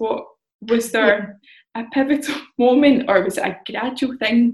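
There is some breathiness in the voice. Pitch moves in an ordinary way. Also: woman. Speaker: podcast host. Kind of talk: casual interview chat.

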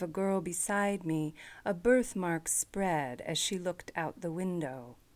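In a very clean recording with a silent background, a woman with a normal speaking voice talks at a fairly slow pace, using lively intonation at a medium pitch. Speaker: radio host. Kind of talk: poem reading aloud, then brief introduction.

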